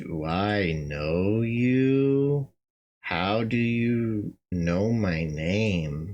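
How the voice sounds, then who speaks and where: In a put-on character voice, a man speaks at a very slow pace with fairly low pitch and lively intonation. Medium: solo performance. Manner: curt, sarcastic.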